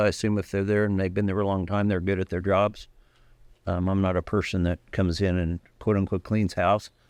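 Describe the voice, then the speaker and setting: A man's fairly low-pitched, monotone voice with flat intonation, in a dry, close sound with no echo and a very clean recording over a silent background. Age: 60s. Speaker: county attorney candidate, prosecutor. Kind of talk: candidate forum answer. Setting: church forum with audience.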